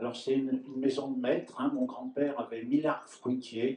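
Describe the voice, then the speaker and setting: With a dark, mellow tone, a man speaks at medium pitch in a monotone, flat delivery. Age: 70s. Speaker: farmer. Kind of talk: round-table talk. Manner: halting.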